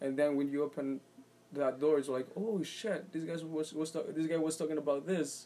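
A man's fairly high voice, dark and mellow in tone, at a moderate pace. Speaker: poet and musician. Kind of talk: casual interview chat. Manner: halting, searching for words.

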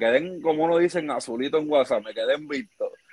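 Speaking with a Puerto Rican accent, a man uses lively intonation at a fairly high pitch. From Puerto Rico. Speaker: baseball player. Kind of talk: interview.

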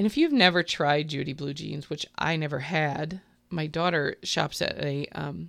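A woman speaks with a very deep, low pitch and vocal fry. It is a very clean recording with a silent background. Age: 50s. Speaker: shop owner and fill-in radio co-host. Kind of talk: casual chat.

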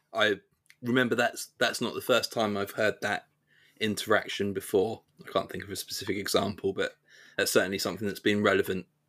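A man talks at a fairly quick pace but breaks it with long, frequent pauses, recorded very cleanly against a silent background. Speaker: podcast host. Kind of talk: casual interview about game rules. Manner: hesitant, many fillers.

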